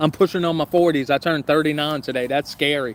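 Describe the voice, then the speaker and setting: A man with a Southern US accent, fairly high-pitched, fairly quick and fairly even in intonation. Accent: Southern US accent, country-sounding. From US South, southern Louisiana. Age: 30s. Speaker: YouTuber, camping channel host. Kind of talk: casual livestream chat. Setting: outdoors, backyard by fire pit.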